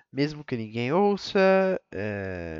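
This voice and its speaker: With lively intonation and a medium pitch, a man speaks in a dry, close sound with no echo. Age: 20s. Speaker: podcaster, college student. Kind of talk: solo monologue. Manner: rambling, casual slang.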